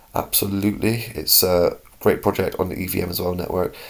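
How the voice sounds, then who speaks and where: A man with a British accent speaks at a very deep, low pitch. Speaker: crypto YouTuber. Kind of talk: casual market commentary. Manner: animated.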